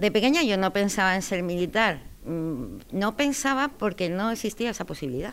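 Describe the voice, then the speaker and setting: At a moderate pace, a woman with a medium pitch swings very widely in pitch. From Spain, moved around (Andalusian family, grew up partly in Galicia, Cartagena, Madrid). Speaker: military judge, army colonel. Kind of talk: interview. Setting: office at a military court. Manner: hesitant, many fillers.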